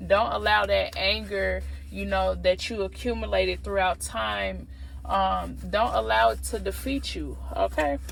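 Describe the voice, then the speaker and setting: A woman talks at a fairly slow pace in a room with audible echo. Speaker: tarot reader. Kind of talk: tarot reading.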